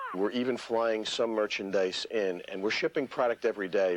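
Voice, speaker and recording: A man speaks in a plain, everyday voice, pitched fairly low with fairly even intonation. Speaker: toy company executive. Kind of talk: TV news interview answer.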